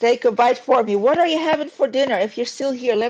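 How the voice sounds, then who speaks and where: A woman with a Dutch accent talks very fast in an animated tone, her intonation lively. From Netherlands. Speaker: YouTuber. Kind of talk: casual chat. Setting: live stream.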